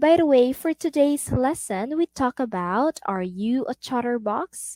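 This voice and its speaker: Very slow and high-pitched, a woman speaks with lively intonation in a Filipino accent. The recording is very clean, with a silent background and a dry, close sound with no echo. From Philippines. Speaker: online English tutor. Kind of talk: role-play demo lesson; tutorial. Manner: animated.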